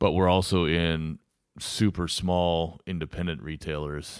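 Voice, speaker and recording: A man with an American accent speaks at a fairly slow pace in a very deep, low voice with monotone, flat intonation, in a very clean recording with a silent background. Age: 40s. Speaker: winemaker. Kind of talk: casual chat.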